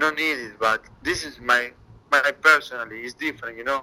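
With a Spanish accent, a man speaks in a bright, sharp tone and ordinary pitch variation. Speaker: MMA fighter. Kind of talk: interview. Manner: halting, broken English.

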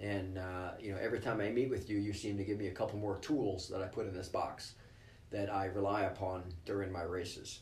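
A somewhat breathy, fairly quick voice with an American accent, flat and monotone, in audible room echo. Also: man, fairly low pitch for a man. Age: 50s. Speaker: ER doctor and ultramarathon runner. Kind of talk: interview.

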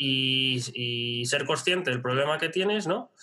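A man speaks with ordinary pitch variation. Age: 30s. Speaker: online business strategy consultant. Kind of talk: interview.

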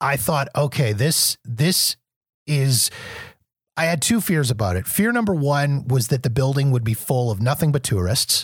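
Somewhat breathy and fairly high in pitch, a man with a Canadian accent speaks at a moderate pace with lively intonation and very even loudness, in a dry, close sound with no echo. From Canada. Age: 40s. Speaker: podcaster, former radio broadcaster. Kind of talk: casual chat. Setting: video call.

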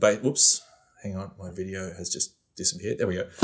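Quiet surroundings and a man with an Australian accent. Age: 40s. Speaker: photographer and videographer. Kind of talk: casual interview.

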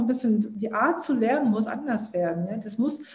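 There is audible room echo as a woman with a fairly high, somewhat breathy voice talks at a fairly quick pace. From southern Germany. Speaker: startup founder. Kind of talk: interview.

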